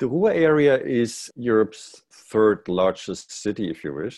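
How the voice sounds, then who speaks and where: With little sound behind him, the man keeps a moderate tempo and his pitch moves in an ordinary way. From East Germany (Jena, Thuringia). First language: German. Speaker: executive director of a university alliance office. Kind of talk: casual interview.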